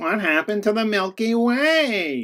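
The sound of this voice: This is a cartoonish character voice. Its pitch is fairly high.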